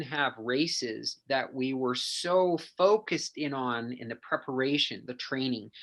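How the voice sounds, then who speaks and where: Against a quiet background, the speaker talks with a western Canadian accent. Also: man. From western Canada (Penticton, BC). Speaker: endurance coach and athlete. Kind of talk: casual interview chat.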